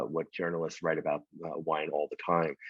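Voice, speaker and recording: A man with a New York accent and a very deep, low voice. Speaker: winemaker. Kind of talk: casual interview chat. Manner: fast.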